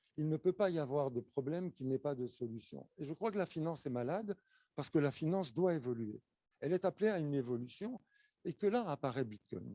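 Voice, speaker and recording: Dark and mellow in tone, this man's voice sits at a fairly high pitch with lively intonation and a fairly quick pace. The sound is dry and close, with no echo. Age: 60s. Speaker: conference speaker. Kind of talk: conference talk.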